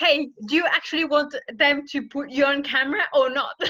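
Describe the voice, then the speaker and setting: Her voice raised and projected, a woman with a French accent speaks at a high pitch and moderate pace, with ordinary pitch variation and big swings in loudness. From France. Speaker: interviewer. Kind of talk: interview.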